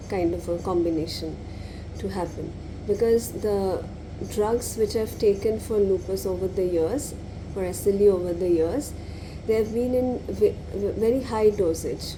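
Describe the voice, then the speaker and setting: A soft-spoken woman talks at a moderate pace in a medium-pitched voice with ordinary pitch variation. There is audible room echo and noticeable background noise. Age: 30s. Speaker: law lecturer and lupus patient vlogger. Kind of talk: personal vlog monologue. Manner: halting.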